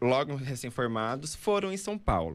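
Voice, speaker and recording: A man talks at a moderate pace in an ordinary speaking voice. His pitch is fairly high, and his intonation is lively. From Pará, northern Brazil. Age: 20s. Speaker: architect. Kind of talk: casual interview chat.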